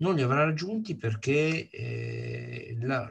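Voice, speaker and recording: A man is heard with a somewhat breathy voice. His pitch moves in an ordinary way. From northern Italy. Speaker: sustainability advocate; course lecturer or speaker. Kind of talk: lecture. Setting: video call. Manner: emphatic. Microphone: video call.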